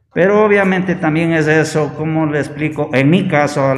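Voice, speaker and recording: With music in the background and audible room echo, a man speaks at a fairly high pitch. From Ecuador, Bolívar province. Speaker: leprosy patient. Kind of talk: testimony.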